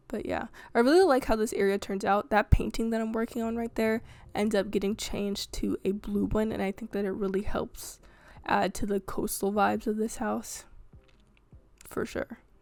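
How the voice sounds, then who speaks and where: Fairly high in pitch, a woman talks at a moderate pace with fairly even intonation in a very clean recording with a silent background. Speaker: game building video creator. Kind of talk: voiceover narration of gameplay building. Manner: hesitant, many fillers and stumbles; casual, conversational.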